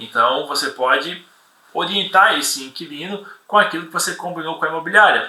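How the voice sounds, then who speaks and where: Speech unfolds at a moderate pace. Room echo is audible. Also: man. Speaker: property inspection instructor. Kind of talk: live webinar lecture with Q&A. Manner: halting, many repetitions.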